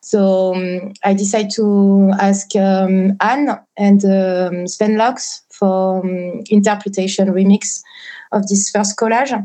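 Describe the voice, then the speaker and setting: A woman with a French accent talks very slowly at a medium pitch. Her delivery is a flat monotone with a dark, mellow tone. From southwest France. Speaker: ambient and experimental musician. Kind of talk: casual interview. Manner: hesitant, many fillers.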